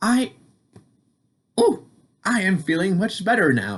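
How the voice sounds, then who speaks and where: A man's put-on character voice, high-pitched and at a fairly slow pace. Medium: read story.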